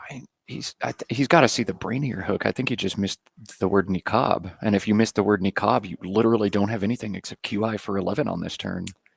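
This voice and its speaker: A quiet man's voice, fairly low in pitch with ordinary pitch variation, very fast, in a dry, close sound with no echo. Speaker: Scrabble commentator. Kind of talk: live commentary. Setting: overhead commentary booth near playing room. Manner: quiet, hushed.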